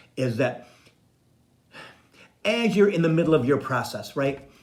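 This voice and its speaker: This man's moderate-paced speech carries audible room echo. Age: 60s. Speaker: psychic medium and spiritual coach. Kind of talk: casual live-stream monologue.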